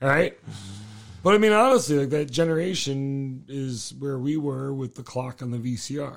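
A man talks in a plain, everyday voice with a fairly high pitch and ordinary pitch variation. His loudness swings widely. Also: moderate pace. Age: 40s. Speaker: podcast host, car enthusiast. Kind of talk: casual chat.

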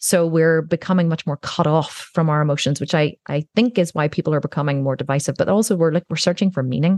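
A woman's very deep, low voice, very fast with ordinary pitch variation, in a dry, close sound with no echo over a quiet background. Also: hardly any pauses. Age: 40s. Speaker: entrepreneur. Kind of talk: interview.

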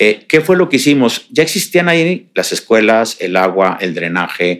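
With a Mexican accent, a man speaks at a moderate pace and with lively intonation. His recording is very clean and the background silent. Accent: Mexican Spanish (Jalisco). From Mexico, Jalisco (Tapalpa). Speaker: real estate developer. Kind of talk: interview.

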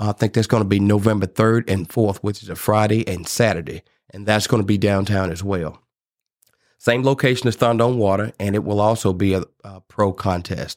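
A man speaks at a fairly quick pace with a Mississippi accent, his pitch fairly low and his intonation fairly even. The recording is very clean with a silent background, and the sound is dry and close with no echo. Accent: Mississippi Southern US. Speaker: barbecue competition organizer. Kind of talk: casual interview chat. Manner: passionate.

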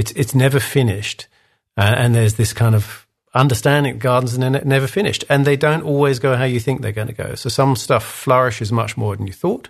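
Somewhat breathy and with an English accent, a man talks at a fairly quick pace and medium pitch, his pitch varying in an ordinary way. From England. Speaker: design leadership coach. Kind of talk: interview.

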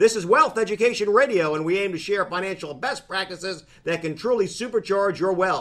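With an upbeat tone, a man talks at a fairly quick pace with hardly any pauses, his high pitch showing ordinary variation. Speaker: radio host. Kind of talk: radio ad read, infomercial pitch. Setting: radio studio. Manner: fast, punchy salesman-style delivery, urgent calls to act; hearty, folksy, upbeat and jokey.

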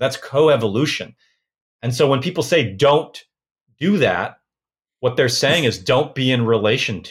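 Recorded very cleanly against a silent background, a man with an American accent and a somewhat breathy voice speaks at a moderate pace, with ordinary pitch variation and long, frequent pauses. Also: medium pitch for a man. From US Pacific Northwest (Portland, Oregon). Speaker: folk magic practitioner. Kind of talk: interview conversation.

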